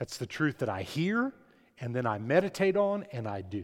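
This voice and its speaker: A man speaks loudly at a moderate pace, his tone animated. His pitch swings very widely. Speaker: pastor. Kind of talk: sermon. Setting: church.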